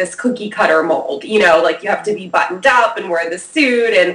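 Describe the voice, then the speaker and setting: A woman with a New Jersey accent, amid noticeable background noise. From New Jersey, US. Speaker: PR expert. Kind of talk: interview. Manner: casual, slangy.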